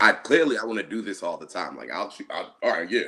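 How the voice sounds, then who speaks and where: Speaking very fast, this man has an American accent. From New Jersey, USA. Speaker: poet, spoken word artist. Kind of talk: interview answer.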